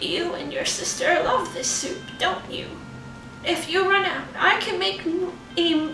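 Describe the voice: Putting on a character voice at an extremely high pitch, a woman speaks over clear background noise with a slight echo. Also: fairly slow pace.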